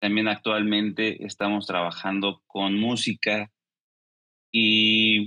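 Fairly low-pitched man at a very slow pace, in a monotone, flat intonation. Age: 30s. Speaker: esports company executive. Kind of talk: interview.

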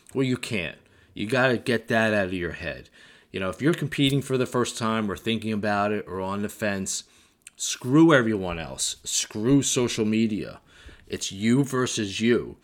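A man's plain, everyday voice, medium in pitch with ordinary pitch variation, at a moderate pace, in a very clean recording with a silent background. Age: 50s. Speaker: bodybuilding coach. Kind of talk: solo podcast monologue.

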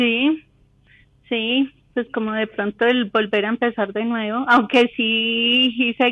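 In a Colombian accent, a woman speaks at a very slow pace with monotone, flat intonation. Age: 40s. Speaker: caller. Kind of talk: casual chat.

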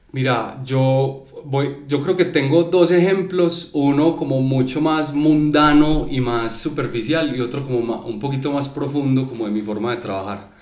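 A man speaks at a fairly slow pace with hardly any pauses, his fairly high pitch showing ordinary variation. Noticeable background noise runs underneath. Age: 30s. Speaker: creative business owner. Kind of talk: casual chat.

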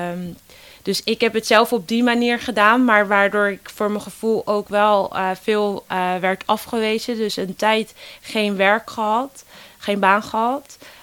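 A woman of medium pitch talks at a fairly slow pace with fairly even intonation. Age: 20s. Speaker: volunteer youth ambassador for a job-search foundation. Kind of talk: interview. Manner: hesitant with many fillers.

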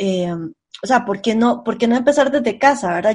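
A woman speaks at a fairly quick pace. Her pitch is high, with ordinary variation. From Costa Rica, central San José. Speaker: podcast co-host. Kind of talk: casual chat.

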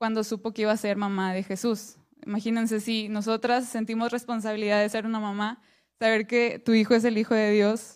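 Against a silent background in a very clean recording, a woman speaks fairly quickly in a fairly high pitch with monotone, flat intonation. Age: 20s. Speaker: women's ministry speaker. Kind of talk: sermon.

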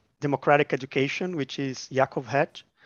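A man with a Portuguese accent, a fairly high pitch and fairly even intonation. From Brazil, Minas Gerais. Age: 30s. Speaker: education researcher. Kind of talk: interview. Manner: halting, repeats words.

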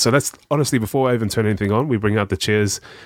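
A man with a New Zealand accent speaks at a fairly low pitch with ordinary variation. The recording is very clean, with a silent background. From New Zealand, South Auckland. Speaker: charity worker. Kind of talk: casual chat.

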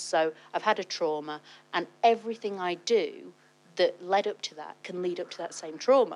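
A woman's plain, everyday voice with ordinary pitch variation at a moderate pace, on a very clean recording with a silent background. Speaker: wellness studio founder. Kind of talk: casual chat.

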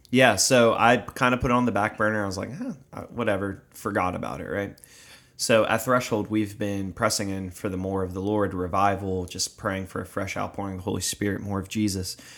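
A man speaks at a fairly quick pace in an American accent, using a plain, everyday voice. His pitch sits fairly low, and his intonation stays fairly even. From South Jersey, US. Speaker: podcast co-host, ministry worker. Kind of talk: casual chat. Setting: studio with cameras.

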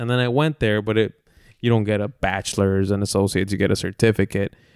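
The recording is very clean with a silent background, and the speech moves at a fairly quick pace. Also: man. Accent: Spanish. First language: Spanish. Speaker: podcast co-host. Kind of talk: casual chat.

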